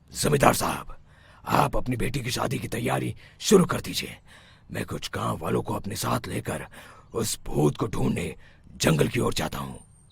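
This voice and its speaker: A man puts on a cartoonish character voice, very deep and low in pitch, with very wide pitch swings. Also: moderate pace. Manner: authoritative, assured.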